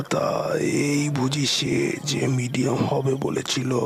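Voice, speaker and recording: A man performs a cartoonish character voice at a medium pitch and a moderate pace. Clear background noise runs behind him. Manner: self-assured, knowing.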